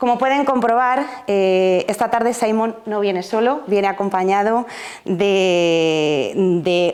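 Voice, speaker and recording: A woman talks at a medium pitch with fairly even intonation. Noticeable background noise runs behind her. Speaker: event moderator. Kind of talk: event introduction.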